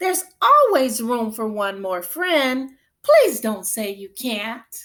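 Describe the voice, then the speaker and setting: At a very slow pace, a woman uses a high-pitched, put-on character voice. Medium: read story. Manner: warm, welcoming.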